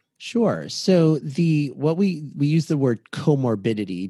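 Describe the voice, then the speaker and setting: With an American accent, a man speaks at a moderate pace in a dark, mellow tone with lively intonation over a quiet background. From Boston, Massachusetts. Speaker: clinical psychologist. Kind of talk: interview. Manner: halting.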